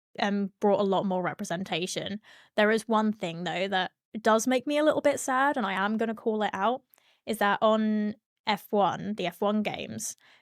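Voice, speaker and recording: With a strong British accent, a woman speaks at a moderate pace in a fairly high voice with ordinary pitch variation, captured as a dry, close sound with no echo in a very clean recording with a silent background. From Britain. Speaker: streamer and sim racer. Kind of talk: casual interview chat.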